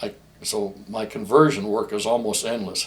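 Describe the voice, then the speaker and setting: Speaking at a moderate pace, a man talks at a medium pitch. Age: 60s. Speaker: gunsmith. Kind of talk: promotional talk about his business. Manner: repetitive, halting with restarts.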